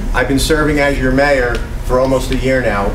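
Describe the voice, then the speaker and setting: Noticeable background noise runs under a man speaking at a fairly quick pace. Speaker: town mayor running for re-election. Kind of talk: campaign speech. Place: hall. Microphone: camera far.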